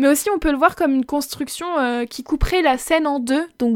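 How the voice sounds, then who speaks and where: This woman's voice is high in pitch, with ordinary pitch variation. The recording is very clean, with a silent background. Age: 20s. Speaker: film and book podcast host. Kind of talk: casual review monologue.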